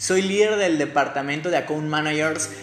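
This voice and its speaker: The tone is animated. Audible room echo and noticeable background noise come through in the recording. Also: man. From Mexico City. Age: 20s. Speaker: podcast host, digital marketer. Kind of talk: solo podcast monologue. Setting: home.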